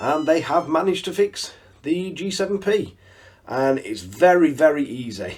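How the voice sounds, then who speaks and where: With a northern English accent, a man speaks at a moderate pace in a fairly high pitch with lively intonation. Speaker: RC hobby YouTuber. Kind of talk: tutorial. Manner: casual.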